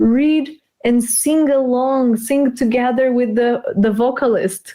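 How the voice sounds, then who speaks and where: A woman with a Portuguese accent has a dark, mellow tone at a high pitch, with ordinary pitch variation. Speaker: English teacher. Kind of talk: live stream interview.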